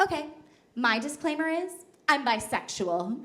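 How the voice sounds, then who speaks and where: With an American accent, a woman speaks with very wide pitch swings amid audible room echo. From New Jersey. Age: 20s. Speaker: comedian. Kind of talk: stand-up.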